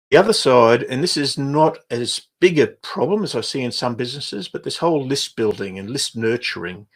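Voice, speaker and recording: A man with an Australian accent talks at a fairly high pitch with lively intonation. His pace is fairly quick, with hardly any pauses. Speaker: business coach. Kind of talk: livestream webinar. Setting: livestream. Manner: halting.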